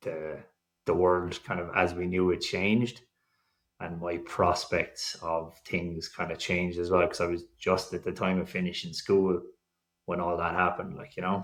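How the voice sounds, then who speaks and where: A man with an Irish accent, very deep and low in pitch, with monotone, flat intonation. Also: moderate pace. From Ireland. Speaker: fertility patient sharing his story. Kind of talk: podcast interview. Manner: casual, rambling with fillers.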